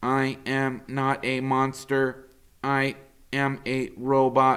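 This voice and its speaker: A put-on character voice speaks at a very slow pace with monotone, flat intonation. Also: man, medium pitch for a man. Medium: read story. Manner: calm, courteous.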